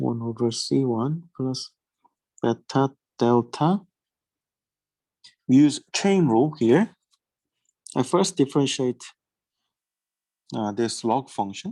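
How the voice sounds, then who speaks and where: Speech comes at a very slow pace. Pauses are long and frequent. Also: very clean recording, silent background. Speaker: teaching assistant. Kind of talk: lecture. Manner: hesitant, with fillers.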